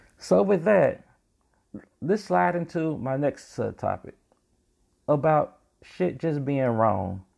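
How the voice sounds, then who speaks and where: The speaker has an American accent and a very slow pace, with long, frequent pauses. The pitch swings very widely. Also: man, fairly high pitch for a man. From North Carolina. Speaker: podcast host. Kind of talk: casual monologue commentary.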